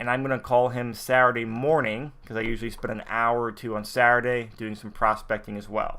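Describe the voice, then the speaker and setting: A man speaks at a fairly slow pace in a medium pitch with a bright, sharp tone. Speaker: network marketing software trainer. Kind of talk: screen-share tutorial.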